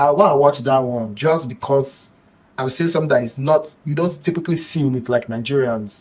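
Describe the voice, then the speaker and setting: Somewhat breathy, a man speaks in a fairly high voice with ordinary pitch variation. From Nigeria. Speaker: tech YouTuber and copywriter. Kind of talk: podcast interview. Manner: animated.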